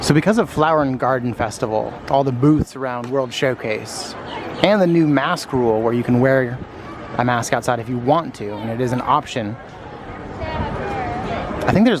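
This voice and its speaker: Amid noticeable background noise and audible room echo, a man with an American accent speaks at a medium pitch and a moderate pace. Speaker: theme park vlogger. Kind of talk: casual vlog narration. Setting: outdoors. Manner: casual, chatty.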